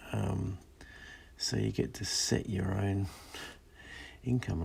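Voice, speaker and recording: A soft-spoken man with a very deep, low pitch and a calm tone, very wide pitch swings and a very slow pace, over noticeable background noise. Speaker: illustrator live streaming while drawing. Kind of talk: casual live stream chat while drawing. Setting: in a parked converted school bus at night. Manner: soft-spoken, calm; hesitant, many fillers.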